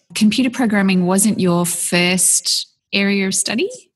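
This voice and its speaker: A woman with an Australian accent, speaking at a fairly slow pace. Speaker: podcast host. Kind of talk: interview.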